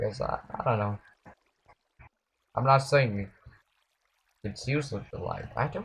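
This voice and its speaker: A man speaks in a somewhat breathy voice. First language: not English. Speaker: gaming streamer. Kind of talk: gameplay live stream commentary. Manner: halting.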